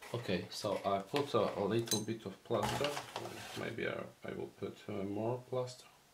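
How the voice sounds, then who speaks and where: A man with a Polish accent at a moderate pace, medium pitch and fairly even intonation, over noticeable background noise. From Poland. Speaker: miniature painting hobbyist. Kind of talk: tutorial. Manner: halting.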